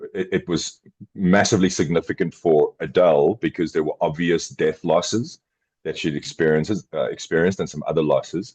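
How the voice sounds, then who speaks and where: A man with a South African accent talks at a fairly quick pace. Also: dry, close sound with no echo. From South Africa, Johannesburg. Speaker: podcast co-host, former addict. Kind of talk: casual chat. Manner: halting, repeats words.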